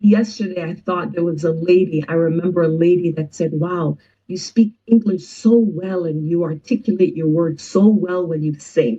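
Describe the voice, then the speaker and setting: A woman speaks at a moderate pace with hardly any pauses. Her fairly low voice is dark and mellow, somewhat breathy, with ordinary pitch variation. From Jamaica. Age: 50s. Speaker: musician. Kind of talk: interview conversation.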